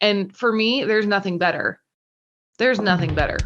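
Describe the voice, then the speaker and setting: A plain, everyday voice is heard over a quiet background. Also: woman. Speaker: benefit auctioneer. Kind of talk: interview answer.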